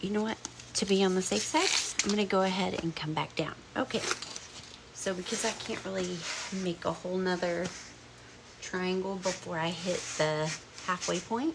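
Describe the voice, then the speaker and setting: With a Southern US accent, this woman speaks at a moderate pace in a medium pitch, her pitch varying in an ordinary way, with long, frequent pauses and noticeable background noise. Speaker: crafts tutorial maker. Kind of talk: tutorial. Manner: casual, chatty.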